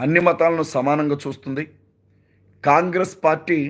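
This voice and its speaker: A man speaks with a fairly high pitch. The recording is very clean, with a silent background. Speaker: pastor. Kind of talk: live stream address. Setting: live video stream.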